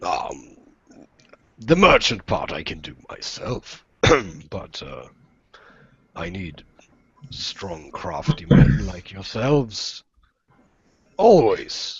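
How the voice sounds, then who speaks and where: A raspy, put-on character voice moves at a very slow pace, broken by long, frequent pauses. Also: man. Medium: actual play. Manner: smooth, self-assured.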